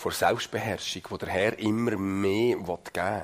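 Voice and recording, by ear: This man's pitch sits fairly low. His voice carries a slightly husky edge.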